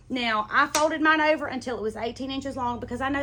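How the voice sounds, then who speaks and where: A high-pitched woman with an American accent, very fast pace and ordinary pitch variation, over noticeable background noise. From US South. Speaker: sewing teacher. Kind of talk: tutorial. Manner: casual, chatty.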